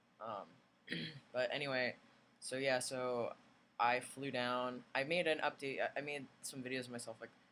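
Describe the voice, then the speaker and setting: Quietly, a man speaks at a moderate pace and medium pitch, with a bright, sharp tone and fairly even intonation. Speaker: vlogger. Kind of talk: video diary. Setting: recovery at home or hotel with sister.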